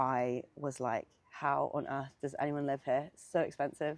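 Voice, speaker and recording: A woman speaks in a London accent at a moderate pace. Her pitch is very deep and low. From South East London. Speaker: singer-songwriter. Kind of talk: casual interview. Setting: outdoors.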